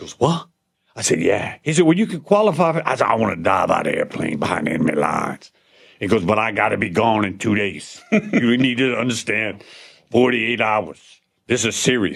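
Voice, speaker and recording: With a Louisiana accent, a man at medium pitch talks at a fairly quick pace in an animated tone, with very wide pitch swings and big swings in loudness. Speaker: podcast host, Special Forces veteran. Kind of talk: casual interview conversation. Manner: animated storytelling.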